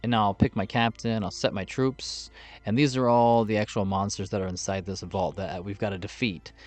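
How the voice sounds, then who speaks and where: At a fairly quick pace, a man with a fairly low pitch and an ordinary speaking voice talks with ordinary pitch variation against a quiet background. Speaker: gaming video creator. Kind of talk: gameplay tutorial.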